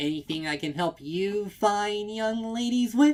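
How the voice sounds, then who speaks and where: The speaker puts on a character voice. Delivery comes at a moderate pace. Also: man, high pitch for a man. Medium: read story. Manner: chirpy, bright, eager to please.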